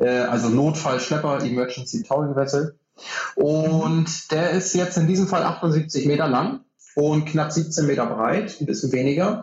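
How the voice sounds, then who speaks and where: A man speaks at a fairly slow pace with very even loudness. His pitch varies in an ordinary way, and he has an ordinary speaking voice. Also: fairly high pitch for a man. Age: 30s. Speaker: ship's officer and maritime trainer. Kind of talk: interview.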